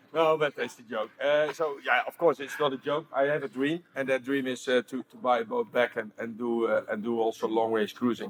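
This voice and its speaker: At a fairly quick pace, a man speaks with a strong Dutch accent and ordinary pitch variation over noticeable background noise. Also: medium pitch for a man. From Netherlands. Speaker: stabilizer company owner, panelist. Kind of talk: panel introduction. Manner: halting.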